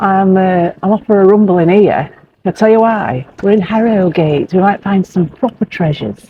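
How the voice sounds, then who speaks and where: A woman's medium-pitched voice in a Yorkshire accent, her loudness very even. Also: ordinary pitch variation, moderate pace. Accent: broad Yorkshire English. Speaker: motorhome travel vlogger. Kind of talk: casual chat.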